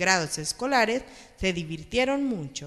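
At a moderate pace, a man speaks with a fairly bright tone.

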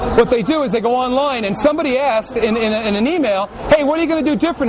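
Over noticeable background noise, a man talks at a very fast pace. His pitch is extremely high, with ordinary pitch variation. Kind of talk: interview answer. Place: factory.

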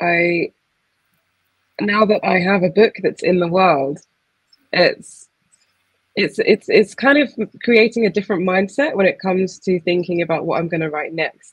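A woman with a southern English accent, medium pitch, ordinary pitch variation and a fairly slow pace, against a quiet background. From Essex, England; England. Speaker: poet. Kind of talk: casual conversation; reading aloud. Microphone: video call.

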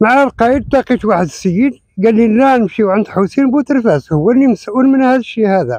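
An extremely high-pitched male voice at a very fast pace, very even in loudness, dry with no echo, against a quiet background. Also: ordinary pitch variation, hardly any pauses. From Morocco. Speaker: local witness; witness. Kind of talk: eyewitness account. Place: open country. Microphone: lapel.

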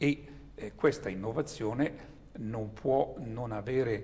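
Vocal fry runs through a man's very slow delivery, which has ordinary pitch variation. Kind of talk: recorded video greeting address. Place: home room.

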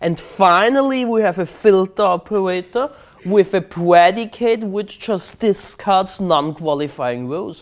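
At a fairly slow pace, a man with a German accent speaks at a high pitch with ordinary pitch variation. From Austria, Vienna. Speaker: conference speaker, database expert; conference speaker. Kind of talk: technical presentation. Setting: stage with audience. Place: meeting room.

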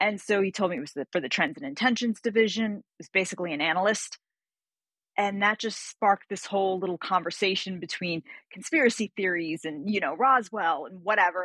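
The tone is bright and sharp, delivered at a fairly quick pace with big swings in loudness. The sound is dry with no echo over a quiet background. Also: woman, ordinary pitch variation. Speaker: guest. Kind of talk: interview answer. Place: home room.

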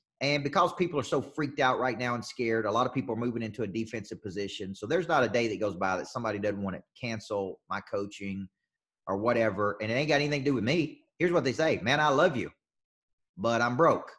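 Against a quiet background, a man with a Southern US accent talks at a very fast pace in an animated tone. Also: lively intonation. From US South. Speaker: business coach. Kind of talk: coaching session. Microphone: video call.

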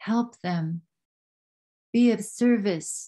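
A woman speaks somewhat breathily in a dark, mellow tone with ordinary pitch variation. The background is quiet. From Yukon, Canada (First Nation). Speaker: traditional storyteller and cultural ambassador. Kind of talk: storytelling talk to an online audience. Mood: warm, earnest. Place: home room. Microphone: webcam.

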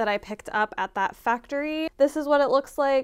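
A woman at a fairly quick pace with ordinary pitch variation, against a quiet background. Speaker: sewing vlogger. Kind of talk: casual vlog chat. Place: home room.

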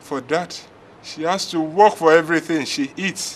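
Here a man talks at a fairly slow pace. Light background noise can be heard. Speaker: actor playing a father. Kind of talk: dramatic monologue, film acting. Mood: distressed, ashamed, frustrated. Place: open country.

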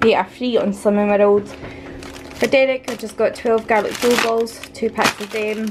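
A woman's monotone, flat delivery at a moderate pace, with noticeable background noise. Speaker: vlogger. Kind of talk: casual vlog chat. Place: kitchen. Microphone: phone near.

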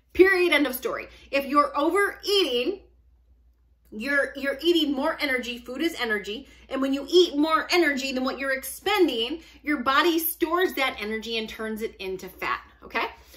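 A woman talks in a high pitch with a bright, sharp, animated tone. Her intonation is lively, and the background is quiet. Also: moderate pace. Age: 40s. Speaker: fitness and weight loss vlogger; weight loss vlogger. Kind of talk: casual monologue to camera. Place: home room. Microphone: phone near.

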